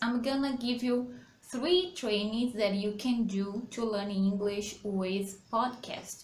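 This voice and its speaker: With noticeable background noise and audible room echo, a woman speaks at a very slow pace in a fairly high voice. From Brazil. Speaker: English teacher. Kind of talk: tutorial. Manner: halting.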